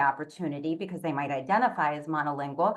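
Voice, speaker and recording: With a Spanish accent, a woman talks using ordinary pitch variation. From Puerto Rican diaspora, raised mostly in continental US. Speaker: multilingual education panelist. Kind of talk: webinar panel talk.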